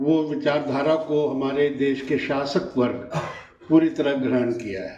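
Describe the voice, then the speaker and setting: Audible room echo colors this recording. The man's intonation stays fairly even. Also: fairly high pitch for a man. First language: not Hindi (speaking Hindi). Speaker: invited speaker at memorial discussion. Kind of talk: political speech at memorial meeting. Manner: formal.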